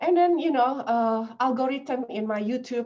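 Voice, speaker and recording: A woman with an Indonesian accent, a dark, mellow tone, lively intonation and a fairly slow pace. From Indonesia, Jakarta. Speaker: language professor. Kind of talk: lecture. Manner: halting, many fillers.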